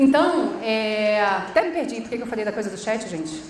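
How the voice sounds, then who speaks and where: A woman with a Rio de Janeiro accent and a fairly high pitch, plus audible room echo and noticeable background noise. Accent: carioca. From Rio de Janeiro, Brazil (Baixada Fluminense). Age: 40s. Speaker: social entrepreneur, conference speaker. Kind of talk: conference talk. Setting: stage with audience. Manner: informal, animated.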